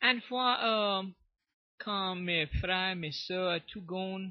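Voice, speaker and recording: A man speaks at a high pitch in a Cajun accent. His intonation stays fairly even. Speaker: storyteller. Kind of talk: interview answer.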